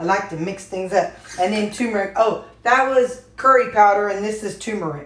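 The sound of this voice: A woman speaks at a moderate pace and medium pitch, her fairly bright tone carrying ordinary pitch variation amid audible room echo.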